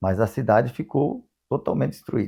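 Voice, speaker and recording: A man of medium pitch with a dark, mellow tone and ordinary pitch variation is heard on a very clean recording with a silent background. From Paraná, Brazil (Nova Londrina). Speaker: eyewitness interviewee. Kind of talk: testimony. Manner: halting.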